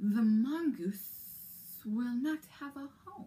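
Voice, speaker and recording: Using a put-on character voice, a woman talks at a very slow pace with a high pitch and lively intonation. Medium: read story. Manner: menacing.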